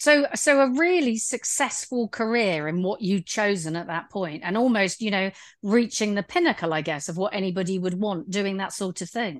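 A woman with a plain, everyday voice, medium pitch and lively intonation, at a moderate pace with hardly any pauses against a quiet background. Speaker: podcast host. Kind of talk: casual interview chat.

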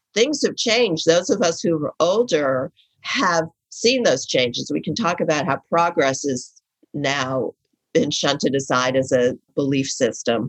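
A woman with an American accent speaks at a fairly slow pace, her pitch swinging very widely. The sound is dry and close, with no echo. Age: 60s. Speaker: writer and advice columnist. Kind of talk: casual interview conversation.

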